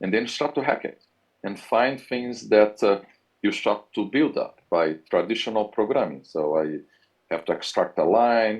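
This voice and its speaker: With a Brazilian accent, a man speaks at a moderate pace. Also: medium pitch for a man, lively intonation. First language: Portuguese. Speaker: university professor. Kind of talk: interview.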